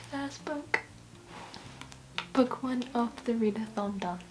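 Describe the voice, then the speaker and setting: A whisper, soft-spoken, against clearly noticeable noise in the background. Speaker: book vlogger. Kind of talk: casual vlog talk to camera. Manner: hesitant with many fillers; soft-spoken, whispering.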